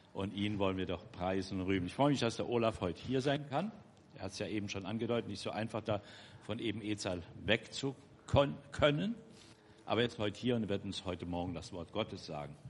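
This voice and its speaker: An unremarkable speaking voice from a man, fairly low in pitch and fairly quick, with ordinary pitch variation. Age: 60s. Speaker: church member, twin brother of the preacher. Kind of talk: church announcement.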